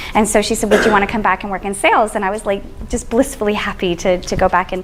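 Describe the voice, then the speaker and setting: A woman with a medium pitch and an energetic tone speaks at a very fast pace over music in the background. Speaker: social media strategist. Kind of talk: presentation to an audience.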